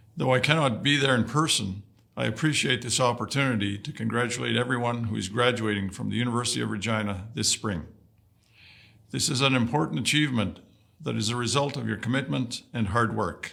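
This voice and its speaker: A man with vocal fry and a bright, sharp tone talks fairly quickly at a medium pitch with ordinary pitch variation. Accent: Canadian. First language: Woodland Cree. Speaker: vice-regal dignitary. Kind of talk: prepared ceremonial address. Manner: formal.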